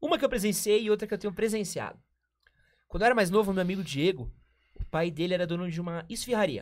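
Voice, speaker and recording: A man speaks in an animated tone. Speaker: podcast host. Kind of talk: casual chat. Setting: live-streamed studio.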